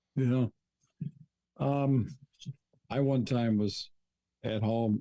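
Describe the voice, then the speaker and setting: This man's voice sits at a medium pitch. His tone is dark and mellow. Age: 60s. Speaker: theology professor and author. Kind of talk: interview conversation.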